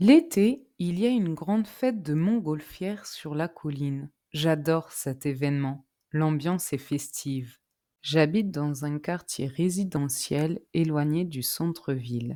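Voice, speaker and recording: Very slowly, a woman speaks in a very deep, low voice with a dark, mellow tone and lively intonation on a very clean recording with a silent background. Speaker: French teacher. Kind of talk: scripted narration.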